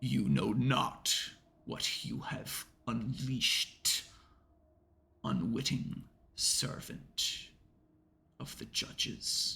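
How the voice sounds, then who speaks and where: A man uses a booming, put-on character voice at a very slow pace. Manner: commanding, ominous.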